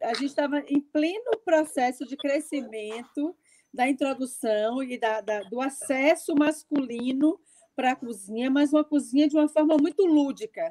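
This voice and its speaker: A woman with a high pitch and a dark, mellow tone speaks fairly slowly with ordinary pitch variation, the sound dry and close with no echo. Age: 60s. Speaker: chef and writer. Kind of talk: panel discussion. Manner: hesitant, many fillers.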